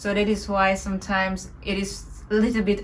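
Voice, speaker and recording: This woman has a medium pitch and a somewhat breathy voice with a non-native accent. She speaks at a fairly slow pace. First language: not English. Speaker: meditation teacher. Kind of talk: spiritual talk. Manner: halting.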